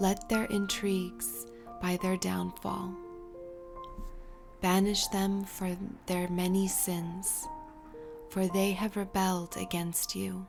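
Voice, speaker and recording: Over background music, a woman speaks at a very slow pace in a calm, soothing tone, her medium pitch showing ordinary variation and her speech broken by long, frequent pauses. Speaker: Bible reader. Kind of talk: calm scripture reading over music.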